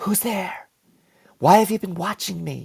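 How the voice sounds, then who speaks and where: A man puts on a character voice, raspy and hissing. It sits at a high pitch and moves at a moderate pace. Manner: hissing, suspicious.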